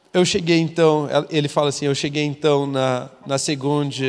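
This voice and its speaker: This is a normal speaking voice, moving at a moderate pace. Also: man. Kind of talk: casual chat.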